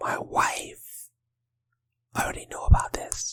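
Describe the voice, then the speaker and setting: A man whispers at a fairly slow pace. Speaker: podcast host. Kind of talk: ASMR podcast episode. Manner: soft-spoken.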